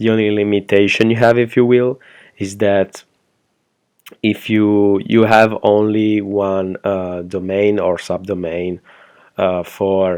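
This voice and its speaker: A man with a non-native accent and a fairly low pitch talks at a very slow pace in a monotone, flat intonation. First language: not English. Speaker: web design agency owner reviewing software. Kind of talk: product review tutorial. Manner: hesitant, many fillers.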